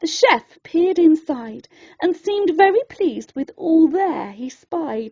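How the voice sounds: The tone is dark and mellow, with lively intonation. The pace is slow. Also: woman.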